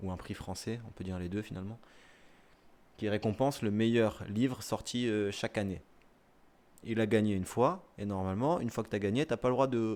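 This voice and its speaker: A man speaks with a medium pitch, keeping a moderate pace. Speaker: streamer reading the dictionary. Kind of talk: casual live-stream chat and dictionary reading. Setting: live stream.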